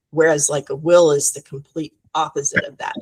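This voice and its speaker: A somewhat breathy woman's voice in a dry, close sound with no echo. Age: 60s. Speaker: business founder. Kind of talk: podcast interview.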